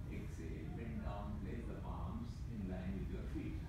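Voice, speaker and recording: A man speaks at a fairly slow pace over loud background noise, with audible echo in the room. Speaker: yoga teacher. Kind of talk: yoga class instruction. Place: gym. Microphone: camera far.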